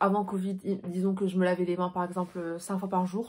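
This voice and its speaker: On a very clean recording with a silent background, a woman speaks at a medium pitch in a dark, mellow, somewhat breathy tone, her intonation flat and monotone. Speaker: beauty sales advisor and vlogger. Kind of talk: casual vlog talk to camera. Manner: very fast; careful articulation.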